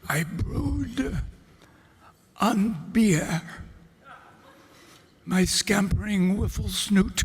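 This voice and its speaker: A man's put-on character voice, high-pitched and very slow, with long, frequent pauses. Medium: read story. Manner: pompous, grandiloquent.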